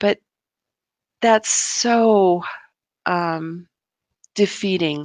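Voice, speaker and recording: A woman at a medium pitch, with ordinary pitch variation, is recorded in a dry, close sound with no echo. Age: 60s. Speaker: program graduate sharing her marriage story. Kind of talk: interview testimony. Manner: halting, many fillers and restarts.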